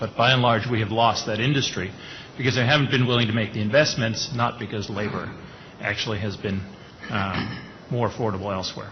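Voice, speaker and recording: A man with a fairly low pitch speaks at a very fast pace, his pitch varying in an ordinary way, against noticeable background noise. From Austria. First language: German. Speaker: management consultant, panelist. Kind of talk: panel discussion.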